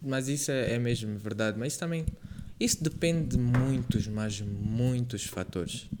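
A man talks in an ordinary speaking voice at a moderate pace. His pitch is medium, with ordinary pitch variation. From Angola, Lubango. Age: 20s. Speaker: podcast host, university student. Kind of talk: casual chat. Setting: video podcast.

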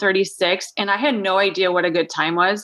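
A woman's voice, bright and sharp in tone, comes through on a very clean recording with a silent background. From Minnesota, south central farming area. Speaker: marathon runner and running blogger. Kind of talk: interview.

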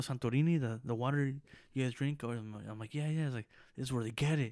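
This man has a normal speaking voice and an American accent, pitched at a medium level. The recording is very clean, with a silent background. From Los Angeles, California (Mexican family). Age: 20s. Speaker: podcast co-host. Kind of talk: casual chat.

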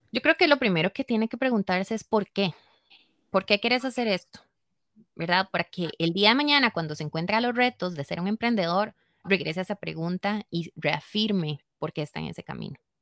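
In a very clean recording with a silent background and a dry, close sound with no echo, a woman of medium pitch talks fairly quickly with a Costa Rican accent and lively intonation. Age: 30s. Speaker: yoga teacher and studio owner. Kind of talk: interview.

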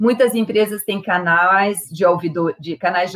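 A woman speaks in a plain, everyday voice. Her pitch is medium and her pace fairly slow. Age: 50s. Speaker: engineer and diversity consultant. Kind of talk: interview.

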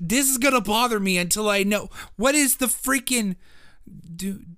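Raised and projected, a man's high-pitched voice with a bright, sharp, animated tone moves at a moderate pace with ordinary pitch variation on a very clean recording with a silent background. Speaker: podcast host. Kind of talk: casual banter podcast. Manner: loud, animated, chaotic.

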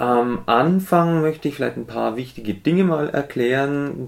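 A man with lively intonation talks at a very slow pace. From Germany, Middle Franconia. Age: 30s. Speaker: music teacher and podcaster. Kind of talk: casual solo podcast monologue.

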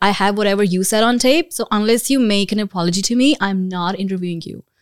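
On a very clean recording with a silent background and a dry, close sound with no echo, a woman talks at a very fast pace with medium pitch and ordinary pitch variation. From India, New Delhi. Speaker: student and former journalist. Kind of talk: casual chat.

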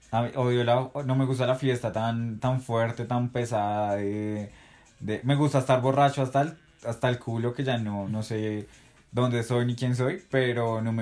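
A man with an ordinary speaking voice talks at a moderate pace and medium pitch. His intonation is fairly even, though his loudness swings a lot. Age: 20s. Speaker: best friend of host. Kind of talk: casual chat.

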